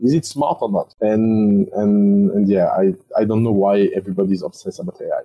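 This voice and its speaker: With a French accent, a man speaks at a moderate pace in a fairly low pitch. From France. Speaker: startup investor. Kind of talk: interview.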